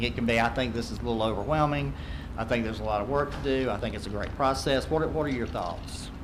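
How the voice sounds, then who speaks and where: Talking at a very fast pace, a man with a Southern US accent and a medium pitch is heard over noticeable background noise and audible room echo. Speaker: accreditation consultant. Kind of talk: presentation to school board.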